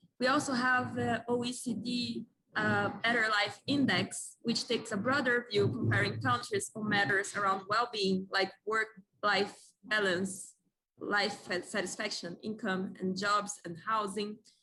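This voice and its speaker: At a fairly slow pace, a woman with a Portuguese accent speaks at medium pitch in a bright, sharp tone with vocal fry. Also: ordinary pitch variation. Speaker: young economist presenting a policy proposal. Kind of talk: conference presentation. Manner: halting, with self-corrections.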